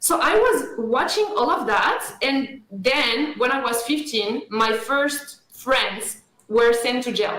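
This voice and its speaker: Very slowly and with very even loudness, a woman speaks at a high pitch with ordinary pitch variation amid audible room echo. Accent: French. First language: French. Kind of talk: radio interview.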